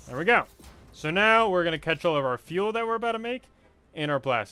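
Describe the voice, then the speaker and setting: Music plays behind a man with a high-pitched voice. His pitch swings very widely. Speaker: gaming streamer. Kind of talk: live gameplay stream chat. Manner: casual, thinking aloud.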